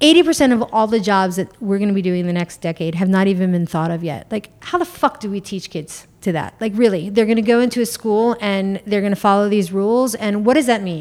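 Speaking with a New York accent, a woman uses a medium pitch and ordinary pitch variation. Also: fairly quick pace, hardly any pauses. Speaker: businesswoman and mother. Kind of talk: casual chat.

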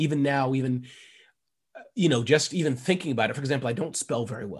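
Speaking at a fairly quick pace, a man uses a fairly high pitch with ordinary pitch variation. His tone is animated and energetic, and somewhat breathy. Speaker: entrepreneur and author. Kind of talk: interview. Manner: fast talker; animated, energetic.

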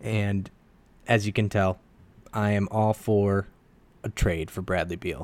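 With a fairly low pitch, a man speaks at a fairly slow pace with fairly even intonation and long, frequent pauses. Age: 20s. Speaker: sports podcaster. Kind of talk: casual monologue. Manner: rambling conversational. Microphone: new mic.

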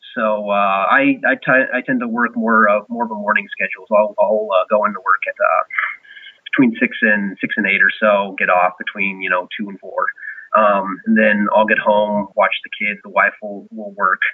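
A man talks at a moderate pace in an American accent, with noticeable background noise around him. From US Pacific Northwest, Washington State. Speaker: marathon runner. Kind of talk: casual interview. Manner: hesitant, many fillers.

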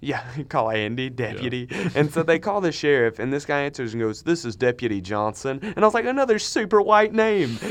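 Hardly pausing at all, the speaker goes at a fairly quick pace with very wide pitch swings. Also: man, fairly high pitch for a man. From Minnesota. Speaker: podcast co-host, college student. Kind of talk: casual chat. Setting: studio. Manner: animated.

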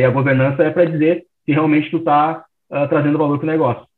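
Talking at a very fast pace, a man has a fairly high pitch. His intonation stays fairly even. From Rio Grande do Sul, Porto Alegre. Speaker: startup founder. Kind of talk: interview.

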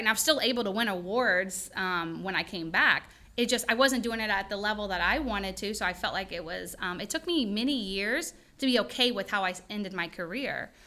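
A woman speaks in a bright, sharp tone with ordinary pitch variation. The recording is very clean, with a silent background. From Louisiana, Denham Springs. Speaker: chiropractor. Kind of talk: casual chat.

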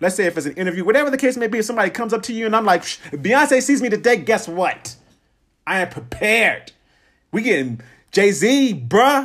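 On a very clean recording with a silent background, a man speaks at a fairly quick pace in a high pitch, his tone animated and energetic with lively intonation. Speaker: podcast host. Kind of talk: solo motivational podcast monologue. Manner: fast talker; animated, energetic.

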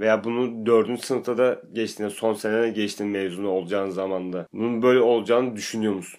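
A man with a normal speaking voice talks at a fairly quick pace and a fairly low pitch, with hardly any pauses. His intonation stays fairly even against a quiet background. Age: 20s. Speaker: factory employee, university graduate. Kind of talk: casual chat.

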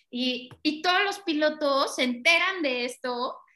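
The voice is raised and projected, with a bright, sharp tone. Its pitch variation is ordinary. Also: woman. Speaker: racing driver and team manager. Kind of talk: casual interview chat.

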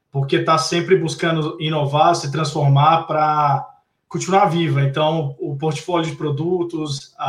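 This man has fairly high pitch and a monotone, flat intonation. His pace is fairly slow. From Belo Horizonte, Brazil. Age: young. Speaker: technology executive. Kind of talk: online talk on digital transformation.

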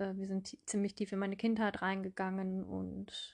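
In a very clean recording with a silent background, a woman talks at a medium pitch in a monotone, flat intonation. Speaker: podcast host, mindfulness coach. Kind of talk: personal monologue. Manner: hesitant fillers.

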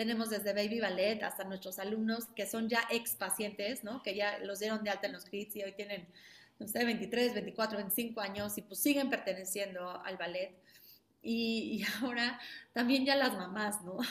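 A woman talks at a fairly slow pace, using a medium pitch and fairly even intonation. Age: 30s. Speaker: ballet school founder and director. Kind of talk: interview. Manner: halting.

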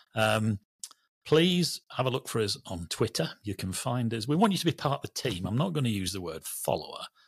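Someone with a Lancashire accent talks at a fairly quick pace in a somewhat breathy voice with very wide pitch swings, in a very clean recording with a silent background and a dry, close sound with no echo. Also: man, medium pitch for a man. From Lancashire, Burnley. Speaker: railway journalist, podcast co-host. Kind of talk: casual chat.

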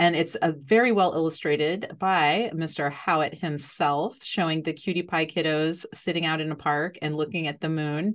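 Speaking at a moderate pace, a woman has a normal speaking voice, fairly low in pitch with ordinary pitch variation. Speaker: podcast host. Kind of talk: interview conversation.

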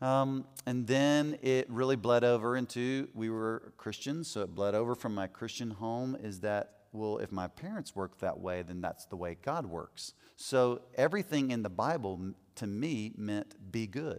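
A man's ordinary speaking voice at a medium pitch, fairly slow pace and ordinary pitch variation, in a very clean recording with a silent background. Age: 40s. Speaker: men's ministry teacher. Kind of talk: teaching talk to a men's group. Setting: in front of a live group. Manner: conversational.

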